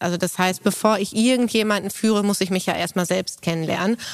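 Her intonation is fairly even and her pitch medium. The woman uses a plain, everyday voice. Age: 30s. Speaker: managing director of family business. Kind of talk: interview conversation. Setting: on location at company.

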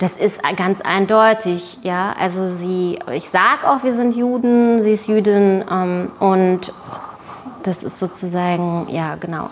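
Noticeable background noise accompanies a woman whose medium-pitched voice rises and falls with ordinary pitch variation. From East Berlin, Germany. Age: 30s. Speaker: journalist and author. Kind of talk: panel discussion. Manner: hesitant, many fillers.

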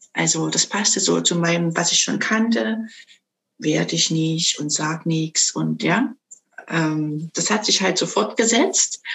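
At a very slow pace, the speaker uses lively intonation with vocal fry. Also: woman, fairly low pitch for a woman. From Saxony, Dresden (eastern Germany). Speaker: sound bowl coach. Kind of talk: interview.

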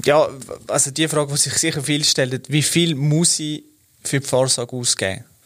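Fairly high in pitch, a man with a Swiss accent speaks at a moderate pace and keeps his intonation fairly even. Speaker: corporate podcast host. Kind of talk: interview.

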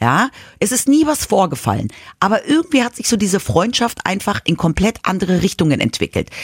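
A woman of medium pitch talks at a fairly quick pace, with vocal fry. Her pitch swings very widely, and the sound is dry and close with no echo. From Munich, Bavaria (childhood partly in Madrid). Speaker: podcast co-host. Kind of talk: casual chat.

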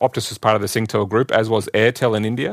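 Over a silent background in a very clean recording, a man with an Australian accent talks very fast. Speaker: telecom executive. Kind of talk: interview.

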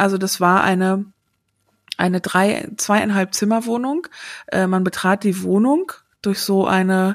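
A woman speaks very slowly at a medium pitch with ordinary pitch variation, the sound dry and close with no echo. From Sauerland, western Germany. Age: 40s. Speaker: podcast guest. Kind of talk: casual interview. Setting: remote recording. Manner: hesitant, many fillers.

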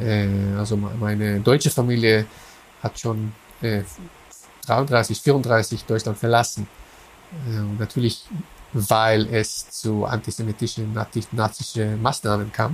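With an Israeli accent, a man of medium pitch speaks very slowly, his intonation fairly even and broken by long, frequent pauses. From Israel, Haifa. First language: Hebrew (speaking German). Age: 40s. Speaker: philosopher of religion. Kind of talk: interview. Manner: halting, many fillers and repetitions.

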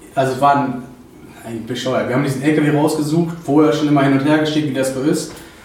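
A man speaks very fast in a monotone, flat intonation. Noticeable background noise and audible room echo surround him. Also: fairly high pitch for a man. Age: 20s. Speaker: trucking business owner. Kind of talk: interview.

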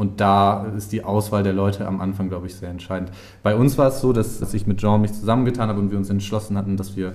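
Fairly low in pitch, a man speaks with fairly even intonation in a room with audible echo. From northern Germany, Schleswig-Holstein near Hamburg. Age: 30s. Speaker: startup founder. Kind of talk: interview.

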